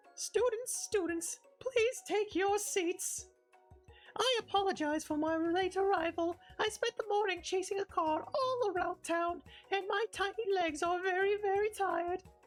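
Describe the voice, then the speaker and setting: The voice is a put-on character voice at an extremely high pitch. Faint music plays in the background. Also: moderate pace. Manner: panting.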